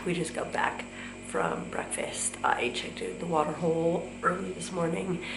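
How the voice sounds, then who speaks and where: Music plays in the background as a woman speaks at a fairly slow pace. Audible room echo surrounds her voice. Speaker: travel vlogger. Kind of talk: casual vlog narration. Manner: hesitant, many fillers.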